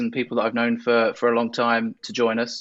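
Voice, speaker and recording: Lively intonation carries a man's speech at a fairly quick pace. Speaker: panel moderator. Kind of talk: panel introduction.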